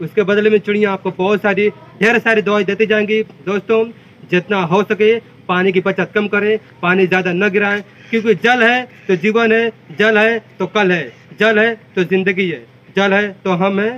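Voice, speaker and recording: A man's high voice at a fairly slow pace, fairly even in intonation, with long, frequent pauses. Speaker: video creator. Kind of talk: casual vlog chat, advice to viewers. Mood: earnest, appealing. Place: garden.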